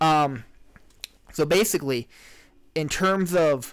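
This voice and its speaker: This is a man talking. His pitch varies in an ordinary way. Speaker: podcast host. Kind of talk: casual chat. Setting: livestream. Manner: loud. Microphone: mic a little hot, very close to mic.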